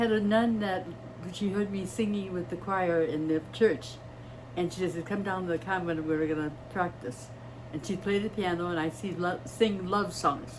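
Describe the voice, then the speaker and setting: Amid noticeable background noise and audible room echo, a woman with a fairly low pitch speaks at a moderate pace with ordinary pitch variation. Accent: American. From US Midwest, East Chicago, Indiana. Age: 80s+. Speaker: retired nurse. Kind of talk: interview.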